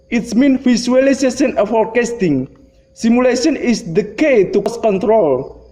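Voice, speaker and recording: A man's extremely high-pitched voice at a moderate pace, with ordinary pitch variation, very even loudness and noticeable background noise. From Indonesia. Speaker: lecturer. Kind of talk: lecture. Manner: halting.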